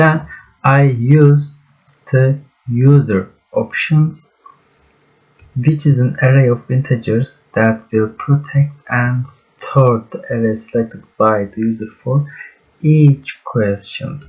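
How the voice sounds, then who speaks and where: With a Turkish accent, a man at medium pitch speaks at a very slow pace, with ordinary pitch variation and long, frequent pauses. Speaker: student. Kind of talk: project presentation. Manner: halting.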